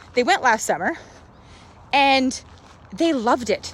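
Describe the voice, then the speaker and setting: Loud and animated, a woman speaks at a fairly slow pace with very wide pitch swings. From rural Canada. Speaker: social media vlogger. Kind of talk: live stream monologue.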